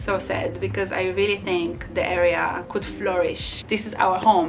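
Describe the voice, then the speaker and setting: Speaking at a fairly slow pace, a woman has an Israeli accent. Noticeable background noise and audible room echo fill the recording. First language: Hebrew. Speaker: vlogger. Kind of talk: casual vlog monologue. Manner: halting.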